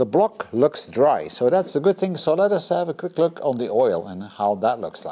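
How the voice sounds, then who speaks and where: A man's fairly high voice with very wide pitch swings, a moderate pace and hardly any pauses. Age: 50s. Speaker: car restoration hobbyist. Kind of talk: workshop video commentary. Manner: casual, thinking aloud.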